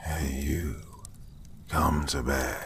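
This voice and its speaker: A man whispering over noticeable background noise. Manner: hushed.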